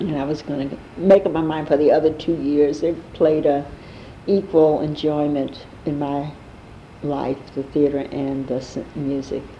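Over noticeable background noise, a woman with an American accent speaks at a fairly slow pace in a very deep, low pitch, with monotone, flat intonation. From New York City, Harlem. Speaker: jazz singer and actress. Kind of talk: oral history interview.

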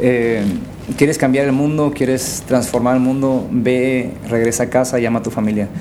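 With noticeable background noise and audible room echo, a man speaks at a moderate pace and medium pitch in a monotone, flat delivery at very even loudness. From Baja California, Mexico (Valle de San Quintín). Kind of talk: casual chat.

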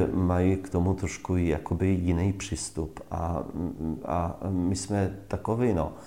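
A man's very deep, low voice with a dark, mellow tone at a fairly slow pace. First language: Polish (speaking Czech). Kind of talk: casual interview. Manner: animated.

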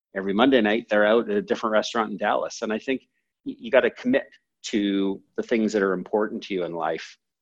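A man with a Canadian accent, a fairly low pitch, fairly even intonation and a very fast pace. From Canada, moved from San Francisco at seven or eight. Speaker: entrepreneur and company CEO. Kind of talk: podcast interview. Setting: call.

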